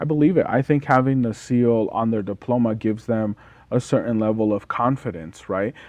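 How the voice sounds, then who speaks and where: A man at medium pitch with a Spanish accent, ordinary pitch variation, and a fairly quick pace. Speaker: podcast host. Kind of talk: casual interview. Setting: studio.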